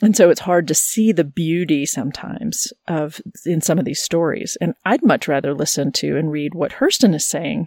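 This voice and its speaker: A plain, everyday voice from a woman, fairly low in pitch, with lively intonation, a moderate pace and hardly any pauses. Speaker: podcast host and biblical scholar. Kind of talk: casual conversation.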